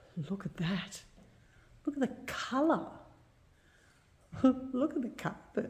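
A woman's somewhat breathy voice has a dark, mellow tone and swings very widely in pitch. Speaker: urban explorer vlogger. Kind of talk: casual vlog commentary. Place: empty room. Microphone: phone near.

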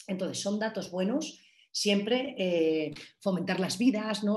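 The voice is somewhat breathy, with lively intonation. It moves at a moderate pace over a quiet background. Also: woman. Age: 40s. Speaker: cultural manager and innovation consultant; workshop instructor. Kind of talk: online masterclass lecture. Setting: video call. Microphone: video call.

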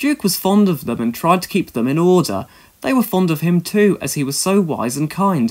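Reading done in a natural voice

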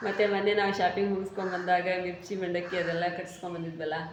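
A woman with a North Karnataka accent speaks at a medium pitch in monotone, flat intonation. Room echo and noticeable background noise are audible. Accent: north Karnataka Kannada. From Haveri district, northern Karnataka. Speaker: vlogger and tailor. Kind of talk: casual talk to camera, reading viewer comments.

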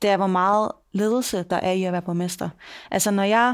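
Against a quiet background, a woman talks at a moderate pace. Her intonation stays fairly even. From Denmark. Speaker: mayor; podcast guest. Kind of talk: interview. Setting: office. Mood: calm, reflective. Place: meeting room. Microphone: headset.

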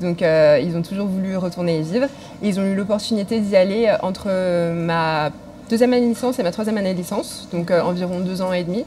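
Fairly low in pitch, a woman talks at a fast pace in a dark, mellow tone. Her pitch varies in an ordinary way.

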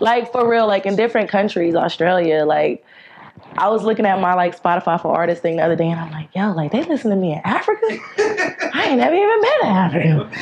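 Over light background noise, a woman speaks with an American accent. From North Carolina, USA. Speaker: singer-songwriter. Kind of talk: interview answer. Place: studio.

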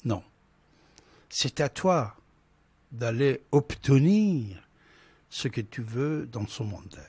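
A man's somewhat breathy voice at medium pitch, with very wide pitch swings, a very slow pace and long, frequent pauses, dry with no echo against a quiet background. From Iran. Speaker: radio host. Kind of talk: call-in talk radio. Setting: studio. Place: studio. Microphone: studio mic.

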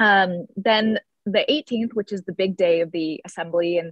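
Against a quiet background, a woman speaks at a fairly slow pace with fairly even intonation in a dry sound with no echo. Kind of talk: keynote talk on a video call. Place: home room. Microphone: video call.

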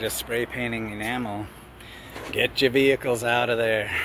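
A man's voice comes through dry, with no echo. Noticeable background noise sits behind him. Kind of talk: casual vlog chat. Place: garden. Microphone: phone near.

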